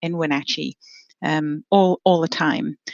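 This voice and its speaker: In an English accent, a woman speaks at a fairly low pitch with a dry, close sound and no echo. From England. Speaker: horticulture professor, apple breeder. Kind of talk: podcast interview. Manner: hesitant, many fillers.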